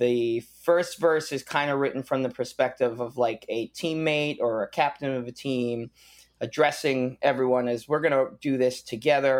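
Here is an ordinary speaking voice from a man with an American accent and a medium pitch. He keeps a moderate pace and fairly even intonation. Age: 30s. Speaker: punk rock musician. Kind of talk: casual interview.

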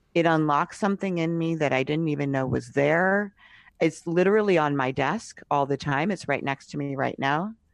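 At a moderate pace, a woman with an American accent speaks at a very deep, low pitch with ordinary pitch variation against a quiet background. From US Northeast (Cambridge, Massachusetts). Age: 50s. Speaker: podcast host and writer. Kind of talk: casual interview. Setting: remote call.

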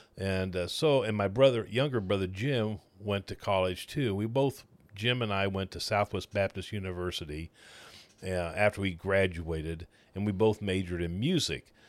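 A man with a Midwestern American accent speaks with a fairly low pitch and ordinary pitch variation. The recording is very clean, with a silent background. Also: moderate pace. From Missouri, Kansas City area. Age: 70s. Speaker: retired pastor. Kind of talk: casual interview chat.

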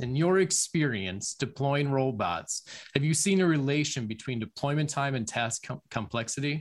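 A man speaks in a plain, everyday voice. His medium pitch carries lively intonation. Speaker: tech show host. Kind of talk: live webinar hosting. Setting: video call.

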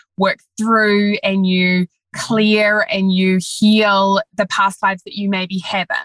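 Flat, monotone intonation comes with a New Zealand accent in a dry, close sound with no echo. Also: woman. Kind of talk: casual interview chat. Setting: remote recording.

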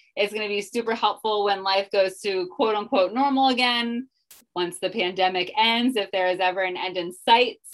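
In a plain, everyday voice, a woman speaks at medium pitch and a moderate pace with fairly even intonation. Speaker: podcast host and life coach. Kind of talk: casual interview chat.

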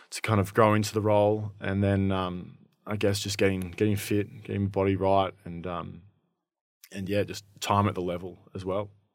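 With an Australian accent, a man talks at a moderate pace in a monotone, flat intonation on a very clean recording with a silent background. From country Victoria, Shepparton. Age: 20s. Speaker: Australian rules footballer. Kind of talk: casual interview.

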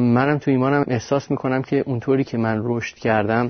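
Fairly quick, fairly even speech from a man at a medium pitch. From Iran. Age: 20s. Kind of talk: testimony. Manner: casual, halting.

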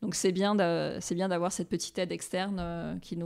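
At a moderate pace, a woman talks in an unremarkable speaking voice with fairly low pitch and fairly even intonation. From Réunion. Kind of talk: interview.

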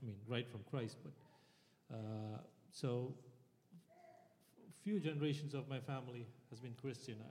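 A man with a medium pitch and a somewhat breathy voice speaks at a fairly slow pace, his pitch varying in an ordinary way while his loudness swings widely. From India. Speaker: church member. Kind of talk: panel testimony.

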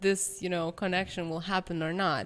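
Here a woman speaks with a Lithuanian accent. Her pace is fairly slow. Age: 20s. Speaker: pianist. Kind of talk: casual chat.

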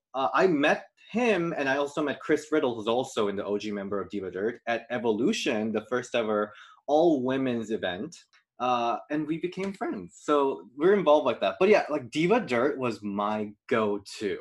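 A man with a Korean accent talks at a moderate pace. His medium-pitched voice makes very wide pitch swings. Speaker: YouTube series creator and video producer.

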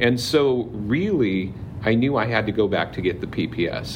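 There is noticeable background noise. Over it, a man speaks at medium pitch with lively intonation. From Southern California (Palm Springs area). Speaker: high school counselor. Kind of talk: casual interview chat. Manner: talkative.

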